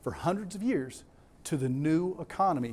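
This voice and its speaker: A man with a Southern US accent and lively intonation, on a very clean recording with a silent background. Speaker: conference speaker. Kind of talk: conference presentation. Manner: animated.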